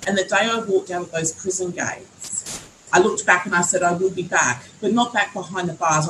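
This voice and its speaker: A woman's medium-pitched voice at a fairly quick pace with fairly even intonation, against noticeable background noise. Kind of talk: panel discussion.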